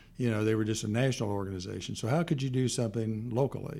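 Speaking very fast in an American accent, a man with a fairly low, dark and mellow voice sounds somewhat breathy, with ordinary pitch variation. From US Midwest, Kansas City. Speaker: retired lawyer and foundation founder. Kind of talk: interview. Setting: studio. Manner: halting, many fillers.

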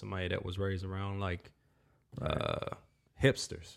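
Here a man talks with an American accent. His pitch is fairly low and his pace moderate. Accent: Southern US, somewhat shifted by Minnesota. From North Carolina. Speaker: podcast host and musician.

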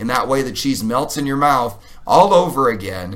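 At a moderate pace, a man speaks in a fairly high voice with vocal fry and very wide pitch swings. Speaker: podcast co-host and public speaker. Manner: witty, bantering.

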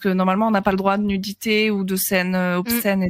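A woman with an ordinary speaking voice, a moderate pace and fairly even intonation, in a dry, close sound with no echo. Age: 20s. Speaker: streamer. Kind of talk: casual chat.

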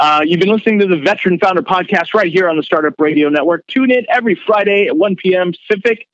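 A man with an American accent speaks at a very fast pace in a high pitch. His loudness stays very even. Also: ordinary pitch variation. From US, San Francisco Bay Area. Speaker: podcast host and military veteran. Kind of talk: casual interview.

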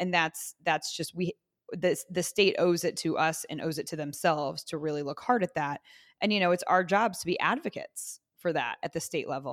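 A woman's fairly low voice at a fairly quick pace, with fairly even intonation, a dry, close sound with no echo, and a very clean recording over a silent background. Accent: Midwestern American. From Indiana (Zionsville, near Indianapolis). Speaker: city councilor. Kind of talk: interview.

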